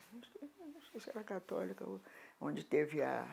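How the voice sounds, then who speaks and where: A woman speaks at a very slow pace. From Rio de Janeiro, Brazil. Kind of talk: oral history interview. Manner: halting, with repetitions.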